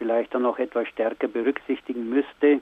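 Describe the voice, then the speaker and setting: Speaking with a Bavarian accent, a man holds a medium pitch in a monotone, flat intonation. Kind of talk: radio interview. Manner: halting.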